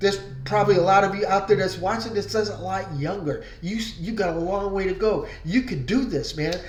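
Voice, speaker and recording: A man with a high pitch talks at a fairly quick pace, with ordinary pitch variation. There is audible room echo and noticeable background noise. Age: 60s. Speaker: online marketing vlogger. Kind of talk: casual motivational vlog with sales pitch. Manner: conversational, many fillers.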